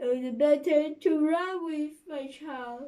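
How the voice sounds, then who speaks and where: Putting on a character voice, a woman speaks high and at a fairly slow pace. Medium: read story.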